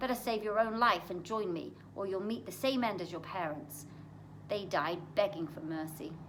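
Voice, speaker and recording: A woman growls in a put-on character voice at a medium pitch. She keeps a moderate pace over clear background noise. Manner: snarling, menacing.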